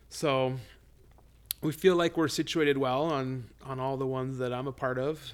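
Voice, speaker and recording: In a plain, everyday voice, a man with an American accent speaks at a moderate pace and medium pitch. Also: fairly even intonation. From Colorado. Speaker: real estate agent and investor. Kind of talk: casual interview. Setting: home recording.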